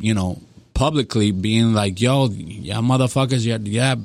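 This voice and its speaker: A man with a Spanish accent talks at a fairly low pitch with ordinary pitch variation. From Dominican Republic, Santo Domingo. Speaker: music producer. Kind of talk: casual chat. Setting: studio.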